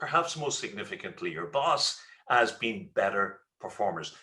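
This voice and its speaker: A man speaks with an Irish accent. His pace is moderate. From Ireland. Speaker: leadership speaker and trainer. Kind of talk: webinar presentation. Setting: online webinar. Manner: hesitant with fillers and repetitions.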